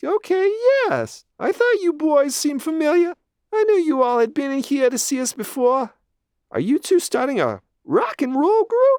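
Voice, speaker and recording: This put-on character voice is high, squeaky and whiny. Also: moderate pace. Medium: read story. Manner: brisk salesy, overly sweet.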